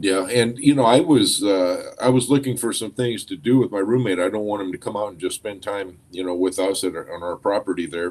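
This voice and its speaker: A man's normal speaking voice with an American accent, fairly low in pitch, with ordinary pitch variation, big swings in loudness, a fairly quick pace and hardly any pauses. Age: 60s. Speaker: co-host, school administrator. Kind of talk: casual chat.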